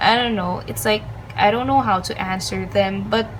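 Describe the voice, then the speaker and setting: Over noticeable background noise and audible room echo, a woman is speaking. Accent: non-native. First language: not English. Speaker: studygram and lettering creator. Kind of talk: tutorial. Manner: hesitant, many filler ums.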